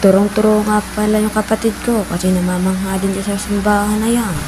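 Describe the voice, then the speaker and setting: A soft-spoken woman at a medium pitch and a fairly quick pace, with music in the background. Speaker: vlogger. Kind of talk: casual vlog narration. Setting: outdoors, walking.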